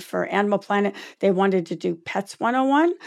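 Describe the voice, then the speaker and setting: A woman talks at a fairly quick pace and medium pitch in a plain, everyday voice. The recording is very clean, with a silent background. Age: 50s. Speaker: animal talent agent and dog trainer. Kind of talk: interview.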